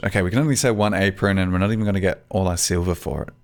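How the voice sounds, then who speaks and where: A man speaks with an Australian accent. His tone is relaxed. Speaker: gaming YouTuber. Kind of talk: gameplay commentary. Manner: casual, relaxed.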